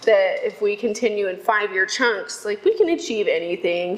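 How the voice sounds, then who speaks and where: A woman with an American accent talks at a fairly quick pace and medium pitch, with ordinary pitch variation. Background noise is noticeable. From Texas, Houston. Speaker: economic development worker. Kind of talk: casual interview chat. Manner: loud.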